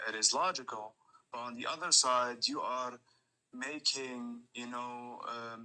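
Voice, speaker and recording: A man speaks at a fairly slow pace with a slight non-native accent. His voice is medium in pitch with a bright, sharp tone. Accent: slight foreign. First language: not English. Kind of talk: debate. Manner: halting.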